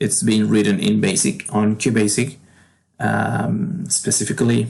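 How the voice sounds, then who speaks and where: The speaker has a Spanish accent and a fairly slow pace. Pitch varies in an ordinary way. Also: man. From Argentina. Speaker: game developer. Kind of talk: tutorial. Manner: halting.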